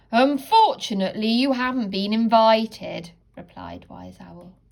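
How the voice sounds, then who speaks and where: Using a put-on character voice, a woman speaks at a moderate pace and a fairly high pitch. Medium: read story. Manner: gentle, wise.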